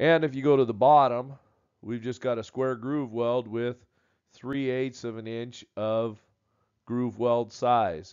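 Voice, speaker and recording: At a very slow pace, a man talks with fairly even intonation. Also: medium pitch for a man. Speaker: welding instructor. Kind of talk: tutorial. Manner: halting, filler words.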